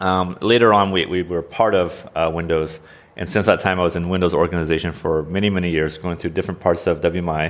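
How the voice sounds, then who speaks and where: A man with an American accent speaks at a fairly quick pace in a very deep, low pitch. His intonation is monotone and flat, on a very clean recording with a silent background. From US Pacific Northwest (Oregon). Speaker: software engineering manager. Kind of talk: interview.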